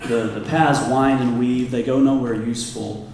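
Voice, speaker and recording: The recording has audible room echo. Noticeable background noise is present too. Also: man. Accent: American. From Kansas. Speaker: commercial real estate advisor. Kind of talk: public talk.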